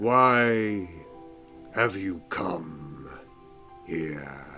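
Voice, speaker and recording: Over clear music in the background, a man puts on a guttural character voice pitched very deep and low. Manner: menacing.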